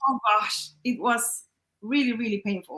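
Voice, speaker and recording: Bright and sharp in tone, a woman with a non-native accent speaks at a moderate pace in a fairly high pitch. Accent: noticeable non-native. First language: not English. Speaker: business owner. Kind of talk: interview.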